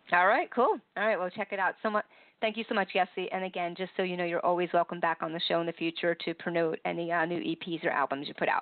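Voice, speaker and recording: Very fast and with hardly any pauses, a woman speaks at a fairly low pitch with fairly even intonation. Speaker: radio host. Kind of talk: radio interview. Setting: online radio show.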